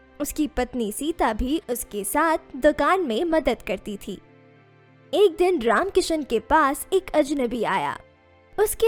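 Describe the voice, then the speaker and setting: A high-pitched woman's voice with very wide pitch swings, dry and close with no echo, over music in the background. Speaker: voice over artist. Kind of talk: story narration. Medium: read story.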